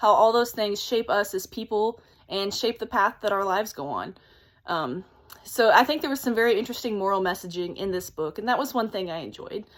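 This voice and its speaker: A woman speaks in an excited tone with lively intonation. The recording is very clean, with a silent background. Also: fairly high pitch for a woman, fairly quick pace. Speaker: book reviewer. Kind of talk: casual talk to camera. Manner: fast, excited.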